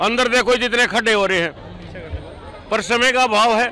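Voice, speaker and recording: Amid crowd noise in the background, a man in a raised, projected voice with extremely high pitch speaks at a moderate pace with fairly even intonation. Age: 60s. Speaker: event participant. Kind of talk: street interview.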